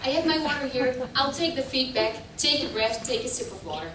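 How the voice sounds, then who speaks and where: Here a woman speaks with a Dutch accent and ordinary pitch variation. Room echo is audible. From Netherlands. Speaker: professor. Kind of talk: keynote lecture. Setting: conference stage with audience. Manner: animated.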